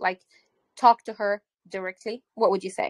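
This woman speaks with a Levantine accent at a moderate pace. Her fairly high voice has a dry, close sound with no echo. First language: Arabic. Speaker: English teacher. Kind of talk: online English class.

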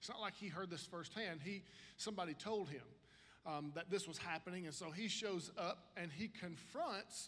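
A man talks at a moderate pace with a high pitch. His pitch variation is ordinary. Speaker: pastor. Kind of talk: sermon. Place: stage. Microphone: handheld.

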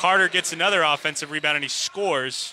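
A man's high-pitched voice, dry with no echo, over light background noise. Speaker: sports commentator. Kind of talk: live sports commentary, play-by-play of a basketball game. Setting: arena broadcast of a game. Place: hall.

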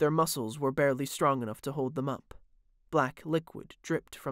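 The clip is plain reading aloud.

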